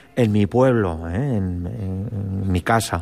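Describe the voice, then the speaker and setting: A man's fairly even intonation and very slow pace come through noticeable background noise. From Spain, Cuenca. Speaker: priest, seminary spiritual director. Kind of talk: testimony.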